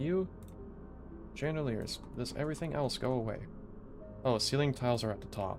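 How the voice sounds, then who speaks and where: Music plays in the background. The speech has a moderate pace with long, frequent pauses. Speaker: streamer and game developer. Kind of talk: casual live stream chat. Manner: halting, with stutters; filler-heavy.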